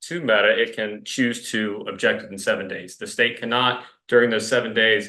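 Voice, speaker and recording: A man with an American accent, bright and sharp in tone, fairly even intonation, audible room echo around him. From US South. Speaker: attorney arguing for the state. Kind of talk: courtroom oral argument. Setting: courtroom. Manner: fast; halting, many fillers.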